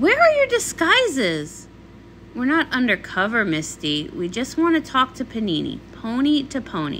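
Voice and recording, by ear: A woman speaks at a fairly slow pace in a put-on character voice, fairly high in pitch, with very wide pitch swings. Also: fairly bright tone.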